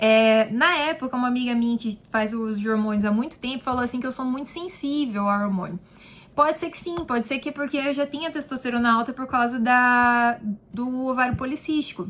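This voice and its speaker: With ordinary pitch variation, a high-pitched woman's voice moves at a fairly quick pace. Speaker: beauty therapist and vlogger. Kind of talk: casual vlog answering viewer questions. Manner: chatty, informal.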